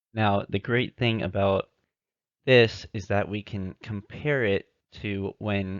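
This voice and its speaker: Over a quiet background, a man with a fairly low pitch speaks at a fairly slow pace with fairly even intonation, in a dry, close sound with no echo. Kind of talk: amateur crypto theory narration over slides. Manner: monotone.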